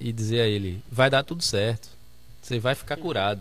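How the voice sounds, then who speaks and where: A man speaks at a moderate pace and medium pitch. His pitch varies in an ordinary way. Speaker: pastor, debate panelist. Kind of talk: religious debate.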